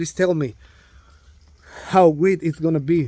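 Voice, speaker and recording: A man speaks in a high pitch with a Spanish accent and ordinary pitch variation. The sound is dry and close, with no echo. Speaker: drywall contractor. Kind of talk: tutorial; casual chat. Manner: halting, many fillers.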